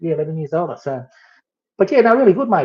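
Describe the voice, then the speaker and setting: A man's somewhat breathy voice with an Australian accent. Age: 60s. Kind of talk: casual chat. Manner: halting.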